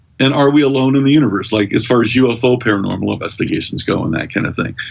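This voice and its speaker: A man at a very fast pace, over noticeable background noise. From US, Kentucky. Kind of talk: casual podcast interview. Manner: animated.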